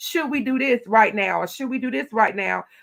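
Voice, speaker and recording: Loud and animated, a woman with a Southern US accent speaks at a high pitch. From Louisiana. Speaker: county commissioner. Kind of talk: interview.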